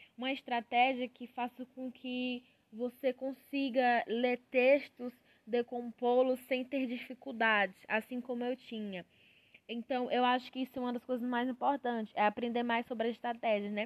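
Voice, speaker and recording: A high-pitched woman's voice in a monotone, flat intonation at a moderate pace, with a dry, close sound and no echo. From Piauí, Brazil. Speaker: university student. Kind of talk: student podcast monologue. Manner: halting, many filler pauses.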